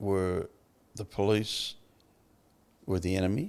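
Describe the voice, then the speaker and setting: The speaker has an Australian accent and a monotone, flat intonation. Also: man. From Australia, Melbourne (Fitzroy). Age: 70s. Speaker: former prisoner turned recovery advocate. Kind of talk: interview. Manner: casual, halting.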